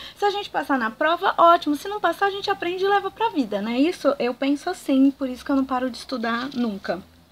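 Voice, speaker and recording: Over noticeable background noise, a woman with a high, animated voice races at a very fast pace with hardly any pauses and very wide pitch swings. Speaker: archaeologist and educational YouTuber. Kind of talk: educational talk to camera.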